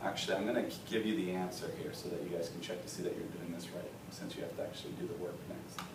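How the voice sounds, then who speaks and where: A man talks at a very fast pace with hardly any pauses. The audio carries audible room echo and noticeable background noise. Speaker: math teacher. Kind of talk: tutorial. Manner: casual.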